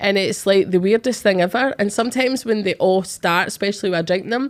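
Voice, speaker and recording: In a Glaswegian accent, a woman speaks very fast with ordinary pitch variation on a very clean recording with a silent background. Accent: Glaswegian Scottish. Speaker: psychic medium and podcast host. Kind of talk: casual chat. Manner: animated.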